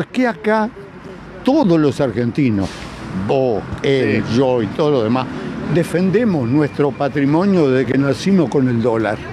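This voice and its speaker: A man's fairly high voice at a fairly slow pace, with long, frequent pauses and a dry sound with no echo, over noticeable background noise. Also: lively intonation. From Argentina. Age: 80s+. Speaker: street interviewee; interviewee. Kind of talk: street interview. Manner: animated. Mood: agitated, argumentative. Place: street. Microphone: handheld.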